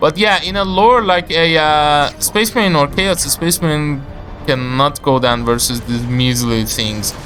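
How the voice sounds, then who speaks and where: With music in the background, a man speaks at a fairly slow pace. His fairly high voice has lively intonation. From Iran. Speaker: video game caster. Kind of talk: live game commentary. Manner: slight stutter, hesitant with fillers.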